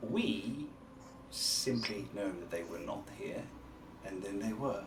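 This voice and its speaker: A man performs a put-on character voice at a fairly slow pace against clear background noise. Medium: actual play.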